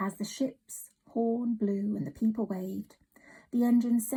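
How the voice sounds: The intonation stays fairly even in a natural reading voice. Nothing much can be heard behind it.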